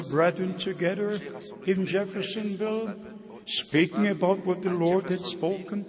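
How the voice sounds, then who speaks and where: A man speaks at a high pitch in a German accent, his intonation monotone and flat. Background noise is noticeable. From Germany. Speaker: traveling preacher. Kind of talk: sermon. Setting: church.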